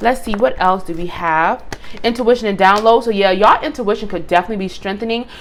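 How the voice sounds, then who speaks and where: A woman talks at a very fast pace. Noticeable background noise runs behind her. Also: medium pitch for a woman, ordinary pitch variation. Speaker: tarot reader. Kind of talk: tarot reading video. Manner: halting, some stuttering.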